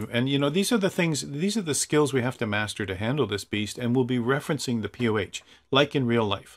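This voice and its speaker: With a Canadian accent, a man talks at a fairly quick pace against a quiet background. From Canada, Toronto. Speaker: flight simulator instructor. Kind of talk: tutorial. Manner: casual, enthusiastic.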